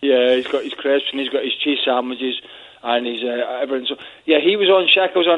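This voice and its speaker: With a Scottish accent, a man speaks with ordinary pitch variation. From Scotland. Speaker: football pundit. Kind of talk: casual chat. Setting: phone call.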